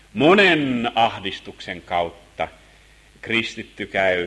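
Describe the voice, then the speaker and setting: With vocal fry and lively intonation, a man speaks at a very slow pace. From Finland, Helsinki. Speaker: Bible teacher. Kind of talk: Bible lesson sermon.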